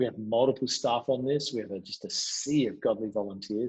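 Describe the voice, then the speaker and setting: A man with an Australian accent speaks at a moderate pace. His voice is medium in pitch with ordinary variation. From Adelaide, Australia. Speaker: pastor. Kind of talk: interview answer.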